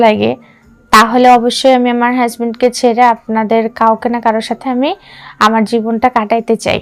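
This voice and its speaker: There is a woman speaking at a fairly high pitch. Her intonation is monotone and flat. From Bangladesh, Gaibandha. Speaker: newly married woman with husband abroad. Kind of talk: personal appeal monologue. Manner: halting.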